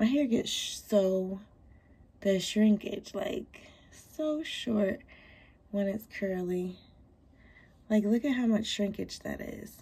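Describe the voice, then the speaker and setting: Very slowly and with long, frequent pauses, a woman speaks in a dark, mellow tone that is somewhat breathy. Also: medium pitch for a woman, ordinary pitch variation. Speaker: salon and lash suite owner vlogger. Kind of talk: casual vlog. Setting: in a car, then studio.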